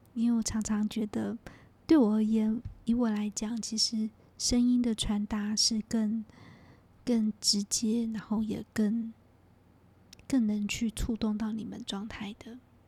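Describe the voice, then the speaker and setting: A calm tone at a very slow pace, with long, frequent pauses. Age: 40s. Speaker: podcast host, energy healer. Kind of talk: guided meditation; reflective monologue.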